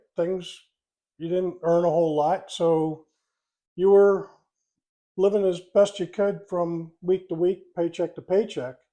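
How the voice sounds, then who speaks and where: This man has a high pitch and a dark, mellow tone, with an American accent. He talks at a fairly slow pace in a flat monotone, with long, frequent pauses against a quiet background. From US, Delaware County, Pennsylvania. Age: 60s. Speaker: retiree, host's father. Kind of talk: casual chat.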